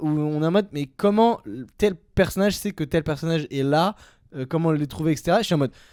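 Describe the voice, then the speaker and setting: Animated and at a fairly quick pace, a man speaks at a high pitch with ordinary variation, in a very clean, dry, close recording with a silent background and no echo. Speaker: film podcast co-host. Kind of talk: heated debate. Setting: live stream. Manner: fast.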